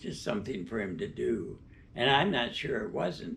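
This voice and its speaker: A man speaks with vocal fry and very wide pitch swings. Audible room echo is present. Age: 90s. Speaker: interviewee. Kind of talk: interview. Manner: halting.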